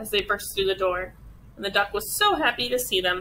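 Reading in an unforced reading voice

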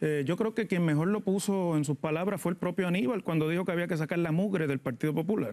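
Talking at a very fast pace with hardly any pauses, a man with a high-pitched voice shows ordinary pitch variation and very even loudness over a quiet background. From Puerto Rico. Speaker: political analyst. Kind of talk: TV panel discussion; political discussion commentary. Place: studio. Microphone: lapel.

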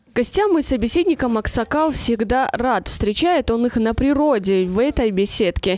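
Over noticeable background noise, a woman with a fairly high pitch speaks at a moderate pace with lively intonation. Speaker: TV news correspondent. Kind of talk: TV news report narration.

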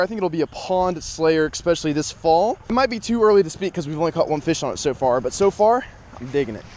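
Someone talks at a very fast pace with ordinary pitch variation in a dry sound with no echo. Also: man. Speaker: fishing vlogger. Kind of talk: casual vlog chat. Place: waterside. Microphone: phone near.

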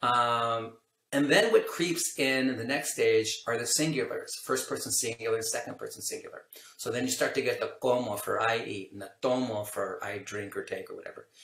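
Audible room echo surrounds a man talking at a moderate pace. His loudness swings widely. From California, US. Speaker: language acquisition researcher, professor; professor. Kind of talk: interview, casual explanatory chat. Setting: video call. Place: home room.

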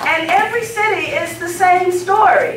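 A woman speaks with ordinary pitch variation, with audible room echo and light background noise. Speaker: guest. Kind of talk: public speech. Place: hall. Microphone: camera far.

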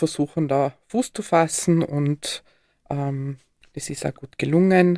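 A woman's dark, mellow tone, fairly low in pitch, at a very slow pace with ordinary pitch variation over a quiet background. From Austria, Tyrol (Lechaschau, then Innsbruck). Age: 50s. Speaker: telephone crisis counselling manager and marriage counsellor. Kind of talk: live radio interview. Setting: radio studio.

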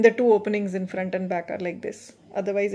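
Her pitch sits in the medium range, with a flat, monotone delivery. The woman keeps a moderate pace. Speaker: meditation guide. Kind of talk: guided meditation. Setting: recorded video for online viewers. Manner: gentle, instructive. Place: home room. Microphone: phone near.

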